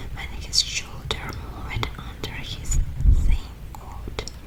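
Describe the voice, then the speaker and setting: A soft-spoken woman's whispering at a very slow pace, amid noticeable background noise. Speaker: ASMR artist. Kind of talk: bedtime book reading. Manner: whispered, soft.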